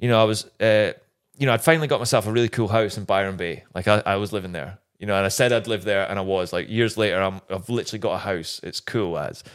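In a Scottish accent, a man talks at a very fast pace with ordinary pitch variation. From Scotland. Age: 30s. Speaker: former motocross racer. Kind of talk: casual chat.

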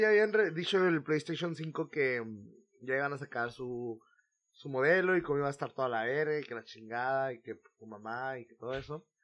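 With a Mexican accent, a man speaks at a moderate pace with lively intonation and big swings in loudness. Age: 20s. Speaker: podcast host. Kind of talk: casual chat.

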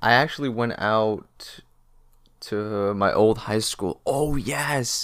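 A man speaks at medium pitch in an animated tone. The recording is very clean, with a silent background. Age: young. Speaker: vlogger. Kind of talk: casual monologue; religious encouragement.

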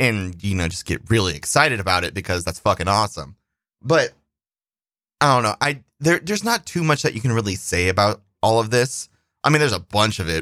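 On a very clean recording with a silent background and a dry, close sound with no echo, a man with a fairly low pitch talks at a fairly quick pace with very wide pitch swings. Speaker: podcast host and Twitch streamer. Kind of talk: casual solo monologue. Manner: rambling, loose and informal.

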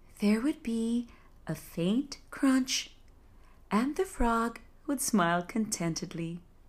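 A woman with a soothing, gentle tone speaks at a very slow pace and a fairly high pitch, with very wide pitch swings and long, frequent pauses. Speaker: sleep storyteller. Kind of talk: bedtime fairy-tale narration, read aloud. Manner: slow, soothing, gentle storytelling pace; calm, hushed and dreamy, with soft descriptive emphasis.

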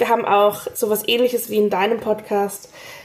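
Through noticeable background noise, a woman speaks with a fairly high pitch and fairly even intonation. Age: 20s. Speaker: podcast host and actress. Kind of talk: casual interview conversation.

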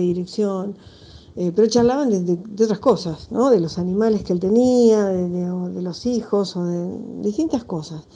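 This woman's voice sits at a medium pitch with a dark, mellow tone. She talks at a moderate pace. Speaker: film director. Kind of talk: interview.

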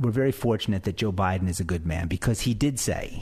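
Speaking at a very fast pace, a man uses lively intonation. His voice is somewhat breathy. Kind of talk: angry rant, indignant talk-radio monologue. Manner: incredulous and sarcastic, with mounting outrage and rapid-fire rhetorical questions.

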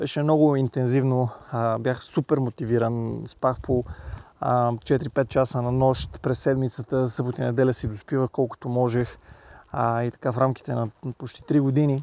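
In a dry, close sound with no echo, a man of medium pitch speaks at a moderate pace in a monotone, flat intonation with a dark, mellow tone. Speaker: NLP trainer. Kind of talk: casual monologue. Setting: outdoors, mountain trail. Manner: casual, with filler sounds.

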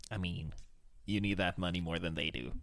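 A man's put-on character voice, very deep and low, at a fairly quick pace. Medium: actual play. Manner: sly, cynical.

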